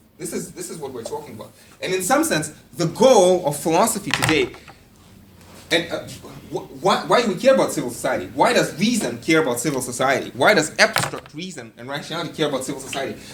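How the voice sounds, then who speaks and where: Speech rushes by at a very fast pace, with noticeable background noise behind it. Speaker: philosophy lecturer. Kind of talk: lecture. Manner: halting, many fillers and repetitions.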